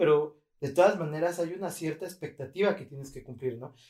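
Pitched fairly high, a man talks with a Mexican accent. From Mexico. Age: 30s. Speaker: podcast host. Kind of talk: casual chat.

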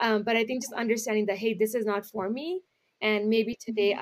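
A woman with a Canadian accent talks in a normal speaking voice, fairly high in pitch. She speaks at a fairly quick pace with fairly even intonation. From Canada, Brampton Ontario, Punjabi community. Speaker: nonprofit founder. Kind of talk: casual interview.

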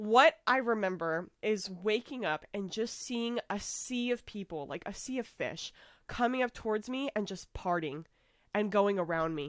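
On a very clean recording with a silent background and a dry, close sound with no echo, a woman with an American accent and a normal speaking voice talks at a fairly slow pace, her fairly high voice carrying lively intonation. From United States. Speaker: podcast host. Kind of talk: casual chat.

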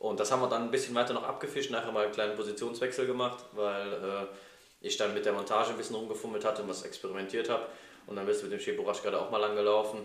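Speech rushes at a very fast pace with audible room echo. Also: man. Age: 20s. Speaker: podcast co-host, software developer. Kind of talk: casual chat. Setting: club house.

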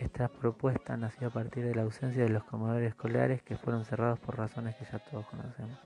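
A man talks very fast in a monotone, flat intonation, with hardly any pauses. The sound is dry and close with no echo, and there is noticeable background noise. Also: medium pitch for a man. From Argentina, Buenos Aires province. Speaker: social work student. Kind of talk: reading aloud a written assignment. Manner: formal.

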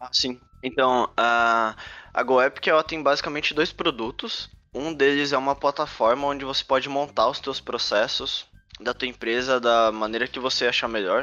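Using a normal speaking voice, a man talks at a moderate pace and a medium pitch. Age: 20s. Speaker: game developer and startup cofounder. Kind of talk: talk to students. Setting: video call.

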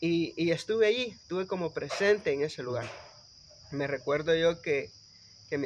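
Ordinary pitch variation runs through speech delivered at a moderate speed. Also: man. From El Salvador, Guatemalan-Salvadoran family. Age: young. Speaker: electrical engineer and municipal councillor. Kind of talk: casual chat.

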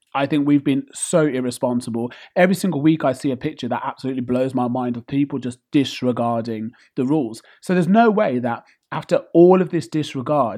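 Fairly high for a man, his voice comes with a British accent. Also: quiet background. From UK. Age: 30s. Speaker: podcast host. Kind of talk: casual monologue rant.

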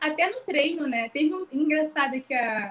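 A woman's lively intonation carries her fairly slow speech. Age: 30s. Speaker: pregnant trainee. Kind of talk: casual chat.

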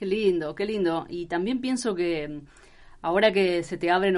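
Speaking with a Rioplatense accent, a woman keeps a moderate pace. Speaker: radio journalist. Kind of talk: interview. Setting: studio.

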